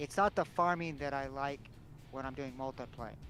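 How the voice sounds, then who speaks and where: A man speaking at a moderate pace with ordinary pitch variation, music in the background. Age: 60s. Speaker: gamer on voice chat. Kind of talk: casual chat.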